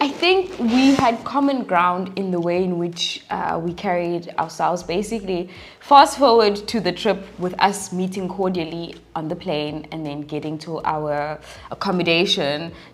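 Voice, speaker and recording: Lively intonation from a woman, set against noticeable background noise. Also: medium pitch for a woman, moderate pace. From Mpumalanga, South Africa. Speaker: YouTuber and podcast host. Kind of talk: casual interview chat.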